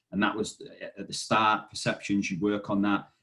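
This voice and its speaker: Using an ordinary speaking voice, a man speaks at a fairly quick pace with a fairly low pitch. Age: 30s. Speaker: fitness business manager. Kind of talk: podcast interview. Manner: casual.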